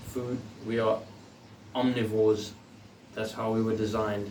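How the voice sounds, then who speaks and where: A man with a medium pitch talks at a fairly slow pace. Noticeable background noise and audible room echo surround him. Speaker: personal trainer and bodybuilder. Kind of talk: tutorial. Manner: casual.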